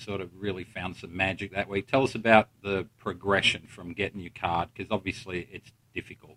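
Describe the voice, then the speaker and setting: Very deep and low in pitch, a man with an Australian accent speaks at a moderate pace in a flat monotone, his tone bright and sharp, his loudness swinging widely, and the sound dry and close with no echo. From Australia, Melbourne. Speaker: golf podcast host and coach. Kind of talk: casual interview. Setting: in person at a tournament venue.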